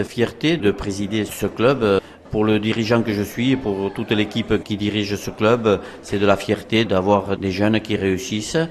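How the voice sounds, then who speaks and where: Noticeable background noise surrounds a man speaking at a fairly slow pace and fairly low pitch. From Soule, French Basque Country. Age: 50s. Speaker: rugby club president. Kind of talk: interview.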